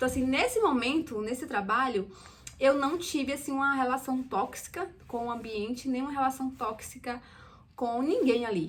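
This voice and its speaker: A woman with a Brazilian accent, high in pitch, at a moderate pace with ordinary pitch variation. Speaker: immigrant vlogger, former waitress. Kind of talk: casual personal vlog.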